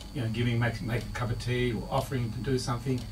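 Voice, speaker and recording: A fairly quick delivery with an Australian accent. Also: man. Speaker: marriage counsellor. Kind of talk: radio interview answer.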